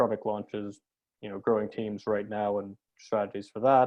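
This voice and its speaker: A man's fairly low-pitched voice with monotone, flat intonation. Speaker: webinar host. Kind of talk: live webinar introduction. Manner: fast.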